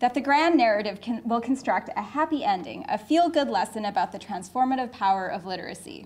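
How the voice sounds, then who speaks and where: A woman with a Canadian accent speaks at a fairly quick pace, her high voice making very wide pitch swings. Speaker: professor. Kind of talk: lecture.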